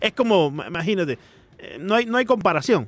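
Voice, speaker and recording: In a very clean recording with a silent background, a man talks at a very fast pace with very wide pitch swings. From Miami. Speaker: sports radio host. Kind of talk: casual chat. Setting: studio.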